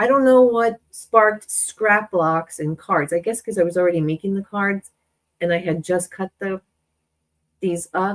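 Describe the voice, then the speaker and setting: A woman with a plain, everyday voice talks at a fairly slow pace and medium pitch, with ordinary pitch variation. The sound is dry and close, with no echo. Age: 40s. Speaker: craft YouTuber. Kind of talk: live-stream craft tutorial. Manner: casual, chatty.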